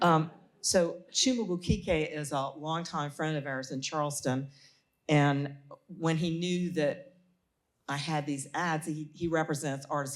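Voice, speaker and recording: A woman with a South Carolina accent speaks at a very deep, low pitch, moderate pace, and fairly even intonation. The recording is very clean, with a silent background. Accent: South Carolina Southern. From US South. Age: 70s. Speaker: author. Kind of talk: panel talk. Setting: stage with audience.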